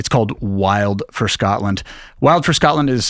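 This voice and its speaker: A man talks with an ordinary speaking voice, keeping a moderate pace and ordinary pitch variation, on a very clean recording with a silent background. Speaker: travel podcast host. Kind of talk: podcast introduction.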